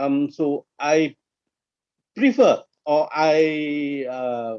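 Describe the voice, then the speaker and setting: This man talks at a very slow pace. His pitch is fairly high with ordinary variation. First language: Tamil. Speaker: corporate trainer. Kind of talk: interactive training webinar. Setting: online webinar.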